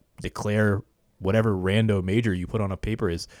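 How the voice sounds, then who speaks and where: A man talks at a fairly low pitch. The recording is very clean, with a silent background and a dry, close sound with no echo. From US South, Florida Panhandle (Pensacola). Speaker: videographer. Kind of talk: casual interview chat. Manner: halting, frequent repetitions.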